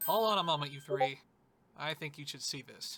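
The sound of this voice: It is a cartoonish character voice at a middle pitch. The pace is moderate.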